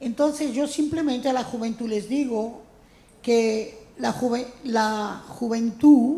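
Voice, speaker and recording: A woman speaks very slowly at a fairly high pitch, with ordinary pitch variation. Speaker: francophonie ambassador, writer and critic. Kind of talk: introductory speech.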